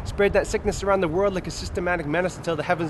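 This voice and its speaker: With noticeable background noise behind him, a man races along at a very fast pace. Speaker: spoken word poet. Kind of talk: slam poetry performance. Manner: fast, rhythmic, rapped-style delivery.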